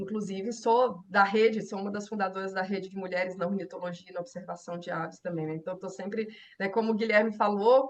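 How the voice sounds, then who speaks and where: At a very fast pace, a woman talks in a Goiás accent. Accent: Goiás accent, similar to Minas Gerais. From Brazil, interior of Goiás. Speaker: herpetologist. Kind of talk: interview.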